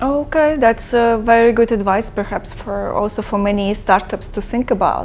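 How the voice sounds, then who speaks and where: Amid noticeable background noise, a woman with a fairly high pitch speaks at a moderate pace with ordinary pitch variation and hardly any pauses. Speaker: podcast host. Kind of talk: casual interview.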